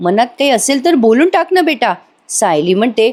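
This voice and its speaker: This woman's voice sits at a high pitch. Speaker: TV serial review narrator. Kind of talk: episode recap narration. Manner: animated.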